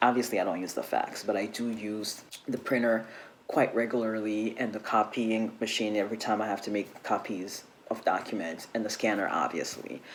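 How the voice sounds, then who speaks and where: Over noticeable background noise, a soft-spoken man talks at a moderate pace in a flat monotone with fairly low pitch. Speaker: travel vlogger. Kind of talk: tutorial. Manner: soft-spoken, speaking low; casual, chatty.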